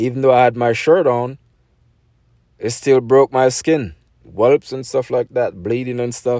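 In a Jamaican accent, the speaker uses fairly even intonation and long, frequent pauses, with a dark, mellow tone and a dry, close sound with no echo. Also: man, medium pitch for a man. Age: 40s. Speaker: podcaster telling personal stories. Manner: rambling, conversational with many fillers and self-corrections.

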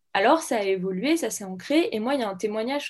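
A woman talks at a fairly quick pace in a fairly high voice with very wide pitch swings. The background is quiet. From France, Saint-Étienne. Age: 20s. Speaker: medical student. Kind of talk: interview.

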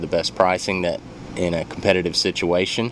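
A man speaks with an Alabama accent in a very deep, low voice. Noticeable background noise runs underneath. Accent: US Southern (Alabama). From Athens, Alabama. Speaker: home loan officer. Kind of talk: radio interview. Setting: radio studio.

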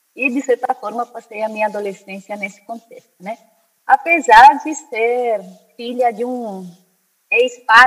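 Delivered at a moderate pace, this is an ordinary speaking voice with ordinary pitch variation. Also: woman. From Spain (born in Brazil). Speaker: anthropologist and spiritualist. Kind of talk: interview conversation.

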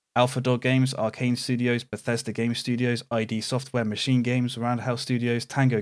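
Speaking fairly quickly, a man with a British accent uses a medium pitch. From Britain. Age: 30s. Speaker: gaming podcast co-host. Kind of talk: casual chat.

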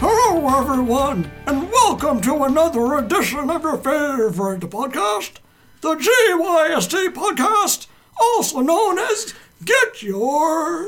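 Putting on a character voice, a man talks at a fairly slow pace with an extremely high pitch.

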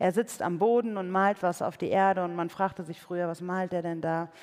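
A woman's voice with a warm tone. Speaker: preacher and author. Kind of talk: sermon in church. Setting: church with live audience. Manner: conversational, warm, earnest; light humor, engaging.

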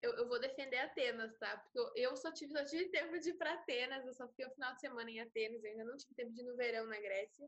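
At a very fast pace, a woman talks in a high pitch. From Brazil. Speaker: university student and traveler. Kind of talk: casual chat.

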